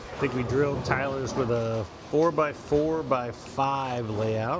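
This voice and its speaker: There is noticeable background noise and audible room echo. A man speaks very slowly in a medium pitch with fairly even intonation. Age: 60s. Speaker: bowling coach. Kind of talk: ball review commentary.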